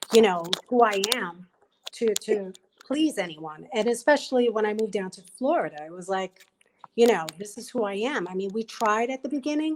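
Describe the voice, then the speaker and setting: A woman with a New York accent talks at a moderate pace in a fairly high pitch, her intonation lively and her loudness swinging widely. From Brooklyn, New York. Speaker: panelist. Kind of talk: panel discussion.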